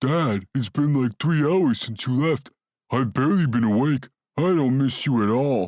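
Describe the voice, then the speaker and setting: A man puts on a character voice at a medium pitch. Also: moderate pace. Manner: goofy.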